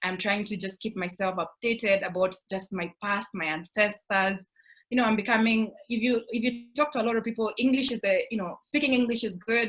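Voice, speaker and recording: A woman in a Kenyan accent speaks at a fairly quick pace in a fairly high voice with ordinary pitch variation. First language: Kikuyu. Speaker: scholarship alumna panelist. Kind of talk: panel discussion.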